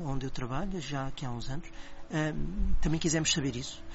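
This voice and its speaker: The man's voice sits fairly high, with ordinary pitch variation at a moderate pace. Audible room echo is present. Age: 50s. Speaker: speech therapist. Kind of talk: interview.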